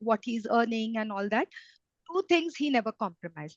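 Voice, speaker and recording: A woman with an Indian accent, dry and close with no echo, against a quiet background. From India, Mumbai. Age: 60s. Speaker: retired banker. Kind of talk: interview.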